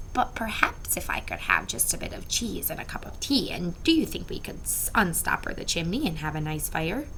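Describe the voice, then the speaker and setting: A put-on, female-sounding character voice whispering at a fairly quick pace with hardly any pauses, over loud background noise. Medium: read story. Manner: polite, mild.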